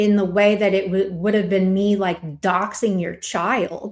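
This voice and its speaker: A woman speaks in a monotone, flat intonation. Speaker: online content creator. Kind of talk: response video, personal statement. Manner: slow; halting, many fillers.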